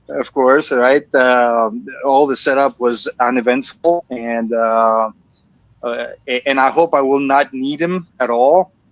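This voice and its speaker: Very slowly and at a medium pitch, a man with a Greek accent speaks with ordinary pitch variation, the sound dry and close with no echo. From Greece. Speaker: laser engraving hobbyist. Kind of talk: live stream group chat. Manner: halting.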